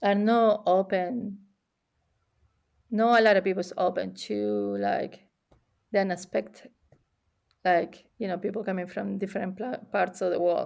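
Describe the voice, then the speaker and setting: A woman speaks with an Argentine accent. She leaves long, frequent pauses. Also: fairly slow pace. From Argentina. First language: Spanish. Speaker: immigrant sharing experiences, cook. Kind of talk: casual interview chat. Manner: halting, many repetitions.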